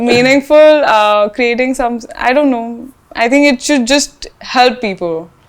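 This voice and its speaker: Her pitch is high and varies in an ordinary way as the woman talks at a fairly slow pace. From India, Rajasthan. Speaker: fashion brand founder. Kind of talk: interview. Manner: hesitant, many fillers.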